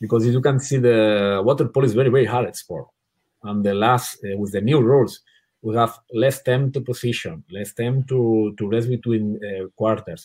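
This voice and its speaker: A medium-pitched man with a non-native accent. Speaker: water polo coach. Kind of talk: interview.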